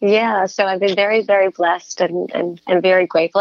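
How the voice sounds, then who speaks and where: Speaking at a fairly quick pace, a woman of medium pitch has an ordinary speaking voice. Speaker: voice actress. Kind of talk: interview answer. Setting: remote from home.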